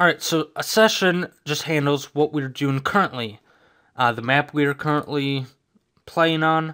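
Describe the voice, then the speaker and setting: A man's bright, sharp voice, fairly high in pitch, comes at a fairly slow pace with fairly even intonation on a very clean recording with a silent background. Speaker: game developer. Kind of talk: tutorial. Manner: casual.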